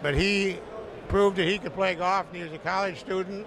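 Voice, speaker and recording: A high-pitched man with a Michigan accent is heard in a dry sound with no echo over noticeable background noise. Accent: Midwestern American (Michigan). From southeast Michigan, Pontiac. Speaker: golf course owner. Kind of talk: interview. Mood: warm, proud. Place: studio. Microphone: handheld.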